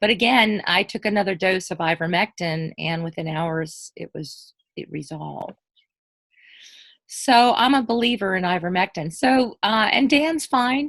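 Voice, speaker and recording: Against a quiet background, a woman at medium pitch talks at a moderate pace with lively intonation, the sound dry and close with no echo. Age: 60s. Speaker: guest sharing covid recovery story. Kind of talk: casual interview testimony. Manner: halting, many fillers.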